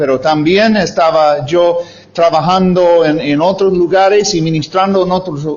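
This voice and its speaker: A man with a high voice and ordinary pitch variation is heard against noticeable background noise. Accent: English. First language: English (speaking Spanish). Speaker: missionary preacher. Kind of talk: sermon. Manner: halting, many fillers.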